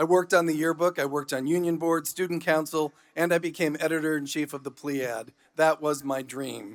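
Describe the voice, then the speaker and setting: A man with a plain, everyday voice and an American accent, with fairly high pitch, fairly even intonation and a fairly quick pace. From Chicago and Los Angeles. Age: 60s. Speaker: entertainment journalist. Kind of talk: commencement speech. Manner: formal.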